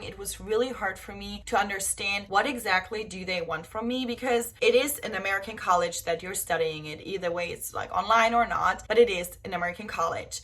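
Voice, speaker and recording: A woman with a German accent, fairly quick pace, ordinary pitch variation and noticeable background noise. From southern Germany, Bavaria (Augsburg). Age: 20s. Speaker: au pair and vlogger. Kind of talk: casual vlog talk.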